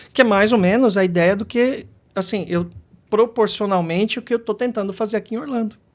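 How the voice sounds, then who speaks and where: A man talks at a fairly quick pace in a high voice with fairly even intonation. The recording is very clean, with a silent background. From Brazil, São Paulo city. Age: 50s. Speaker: kung fu teacher. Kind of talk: podcast interview.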